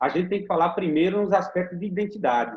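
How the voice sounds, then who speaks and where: This man's voice sits high in pitch. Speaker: teacher and school radio educator. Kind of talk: interview answer.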